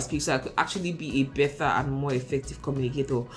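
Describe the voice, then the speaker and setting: Speaking at a very fast pace, a woman uses an American accent and a very deep, low pitch. Background noise is noticeable. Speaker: YouTuber, career advice. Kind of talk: tutorial-style vlog. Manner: mumbles, hesitant with fillers.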